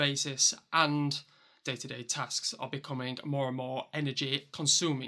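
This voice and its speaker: This man has a Yorkshire accent and a fairly high pitch. The recording is very clean, with a silent background. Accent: broad Yorkshire. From Yorkshire, northern England. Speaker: vlogger. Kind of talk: personal vlog monologue.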